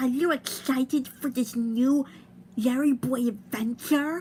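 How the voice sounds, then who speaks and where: Putting on a character voice, a high-pitched woman talks fairly slowly against clear background noise. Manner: nerdy, exaggerated.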